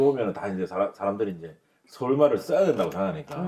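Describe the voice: The words come out at a very fast pace. The speaker is a man with a medium pitch.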